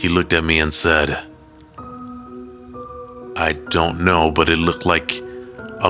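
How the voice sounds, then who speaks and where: With music in the background, a man speaks very slowly in a very deep, low voice with ordinary pitch variation. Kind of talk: horror story narration.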